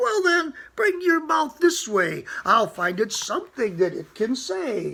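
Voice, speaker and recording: Speaking at a fairly slow pace, a man puts on a character voice with an extremely high pitch and very wide pitch swings. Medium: read story.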